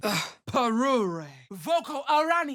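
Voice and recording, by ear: Using a put-on character voice, a woman speaks slowly in a fairly high pitch with big pitch swings and a fairly bright tone.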